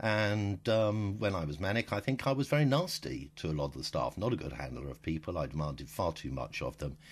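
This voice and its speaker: In a British accent, a man talks at a fairly quick pace with a very deep, low pitch and very wide pitch swings. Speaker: diarist with bipolar disorder. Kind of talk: audio diary. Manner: halting.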